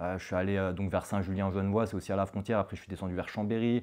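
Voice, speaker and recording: The man's intonation stays fairly even, with a quiet background behind him. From France, Haute-Savoie. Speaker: cross-border worker, entrepreneur. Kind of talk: interview. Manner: halting, many fillers.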